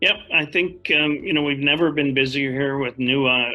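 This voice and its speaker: A man at medium pitch, moderate pace, with music in the background. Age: 60s. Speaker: company CEO. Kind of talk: interview.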